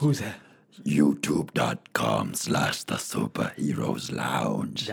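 In a put-on character voice, a man speaks very slowly, raspy and very deep in pitch. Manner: scary.

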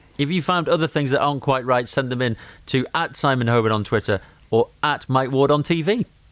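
A man with a British accent speaks at a fairly high pitch. His pitch variation is ordinary. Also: fairly quick pace. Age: 40s. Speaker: radio presenter and podcast co-host. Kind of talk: casual chat.

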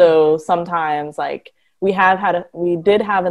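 A plain, everyday voice with an American accent, speaking at a fairly slow pace. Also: woman. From Detroit, Michigan. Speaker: marine biologist and sea turtle conservationist. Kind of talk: casual interview chat.

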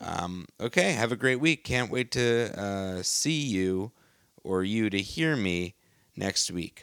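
Pitch moves with ordinary variation in a normal speaking voice. Silence fills the background of this very clean recording. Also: man. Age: 20s. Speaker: podcast host. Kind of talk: casual chat.

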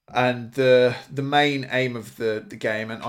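In a British accent, a man talks at medium pitch with fairly even intonation. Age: 30s. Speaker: podcast co-host. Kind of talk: casual chat.

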